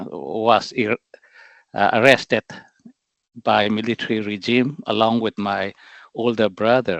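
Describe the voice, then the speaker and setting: A man with a northeastern Indian accent speaks at a fairly slow pace in a medium-pitched voice, with ordinary pitch variation and long, frequent pauses. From Myanmar, Chin State. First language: Mizo. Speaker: political representative, activist. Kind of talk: interview. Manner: halting, many fillers.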